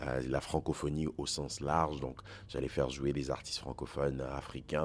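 A man's voice with vocal fry. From Côte d'Ivoire, Togolese parents, French school system. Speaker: singer-songwriter, slam poet. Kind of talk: interview. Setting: festival backstage.

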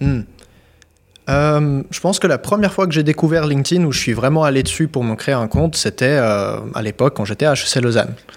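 This man has a normal speaking voice with fairly high pitch. He talks at a moderate pace with ordinary pitch variation. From Switzerland (born Kyiv, Ukraine). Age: 20s. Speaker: LinkedIn business coach, entrepreneur. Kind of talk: casual interview chat.

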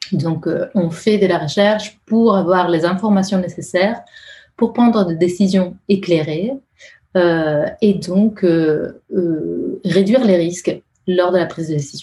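A woman speaks very slowly in a somewhat breathy voice with a dark, mellow tone. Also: medium pitch for a woman, ordinary pitch variation. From Italy. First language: Italian (speaking French). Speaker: user researcher. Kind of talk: interview. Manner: halting; melodic.

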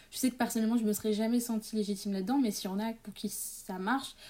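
At a fairly quick pace, a woman talks in a dark, mellow tone. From Paris area, France. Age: young. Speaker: student and author. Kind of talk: interview. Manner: halting.

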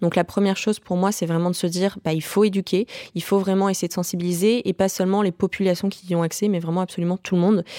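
A woman speaks very fast at a medium pitch in a dark, mellow tone with monotone, flat intonation. The recording is very clean with a silent background and a dry, close sound with no echo. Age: 20s. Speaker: startup founder. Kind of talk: podcast testimony.

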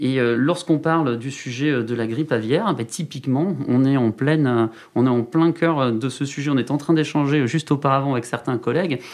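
A man with an unremarkable speaking voice, fairly high pitch, ordinary pitch variation, a moderate pace and hardly any pauses. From Landes, southwest France. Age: 30s. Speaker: mayor and regional politician. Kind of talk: interview.

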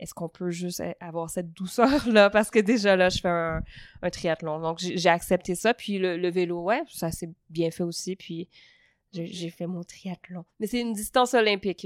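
A woman speaks with ordinary pitch variation in a very clean recording with a silent background, the sound dry and close with no echo. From Quebec, Montreal (Saint-Hubert). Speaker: stand-up comedian. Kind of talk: casual interview conversation. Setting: at a table in Lausanne.

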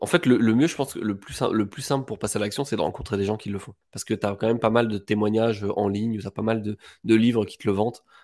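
A man rushes along at a very fast pace with fairly even intonation and a fairly low pitch. The recording is very clean, the background silent. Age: 20s. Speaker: real estate investor and property dealer. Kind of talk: casual interview.

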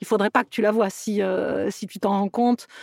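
This woman has an unremarkable speaking voice, fairly high in pitch with fairly even intonation, captured dry and close with no echo. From southern France, Toulouse area. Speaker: actress and producer. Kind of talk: interview. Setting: remote call.

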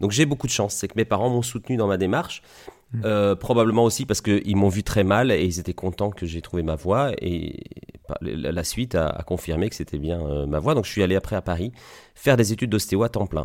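A plain, everyday voice from a man, fairly low in pitch, at a fairly quick pace with lively intonation. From Belgium, Liège. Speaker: osteopath. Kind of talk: interview.

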